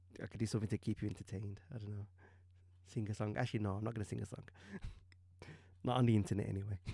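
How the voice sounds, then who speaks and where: A man speaks very fast with a dark, mellow, somewhat breathy tone and a fairly low pitch. His intonation is fairly even, and he takes long, frequent pauses. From UK. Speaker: digital artist streamer. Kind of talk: live stream commentary while painting. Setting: live stream. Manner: hesitant, many ums.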